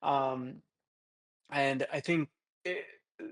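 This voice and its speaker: A man speaks in a dry, close sound with no echo. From India, Hyderabad (Telangana), moved to US as a child. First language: Telugu. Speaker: creative director, branding agency founder. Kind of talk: podcast interview. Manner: casual, many fillers and restarts.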